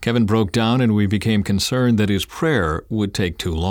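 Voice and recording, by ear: A natural voice reading aloud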